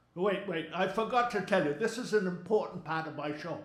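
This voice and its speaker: A high-pitched man at a moderate pace, with audible room echo and noticeable background noise. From Maine, US. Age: 70s. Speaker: humorist. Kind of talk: stand-up. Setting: stage with audience. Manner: animated.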